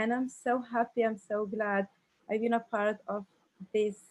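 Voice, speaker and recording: The speaker has an Arabic accent, recorded against a quiet background. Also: woman. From Algeria. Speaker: re-entry university student. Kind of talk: panel introduction. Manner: halting.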